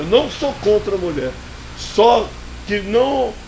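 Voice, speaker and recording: Very slow speech amid audible room echo and noticeable background noise. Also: man. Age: 70s. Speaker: sports pundit. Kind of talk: heated debate. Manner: animated.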